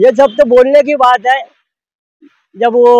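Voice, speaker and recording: The audio is dry and close, without any echo. A man does the talking. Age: 60s. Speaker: power loom worker. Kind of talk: street interview. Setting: outdoors at a roadside tea stall.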